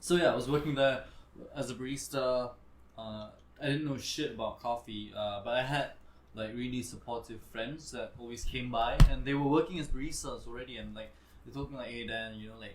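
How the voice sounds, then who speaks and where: Amid audible room echo, a man talks at a fairly quick pace and a medium pitch, with ordinary pitch variation and big swings in loudness. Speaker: restaurant general manager, former model. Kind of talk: casual chat. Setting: live podcast. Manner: casual, hesitant with fillers.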